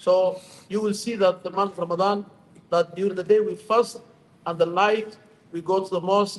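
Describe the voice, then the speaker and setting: A man in a Somali accent, high-pitched and monotone with flat intonation, at a moderate pace with long, frequent pauses. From Somalia. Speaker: imam. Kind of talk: short speech at community iftar. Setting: stage at public event.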